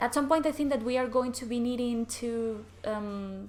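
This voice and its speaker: A woman speaks with a Spanish accent at a moderate pace. Her pitch is fairly high. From Spain. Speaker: card game content creator. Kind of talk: gameplay commentary.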